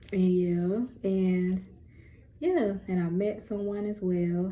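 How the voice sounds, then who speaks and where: With a dark, mellow tone, a woman's voice comes across somewhat breathy. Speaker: lifestyle and spirituality vlogger. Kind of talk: casual chat. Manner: animated.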